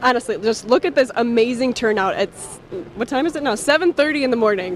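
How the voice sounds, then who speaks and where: Amid noticeable background noise, a woman talks at a fairly quick pace in a high voice. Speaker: TV news reporter. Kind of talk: live TV news report.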